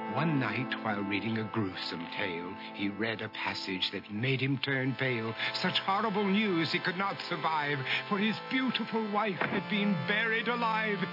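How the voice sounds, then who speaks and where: Music plays in the background as a man speaks at a moderate pace. His fairly high voice has very wide pitch swings. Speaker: narrator. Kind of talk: rhyming story narration for animated short.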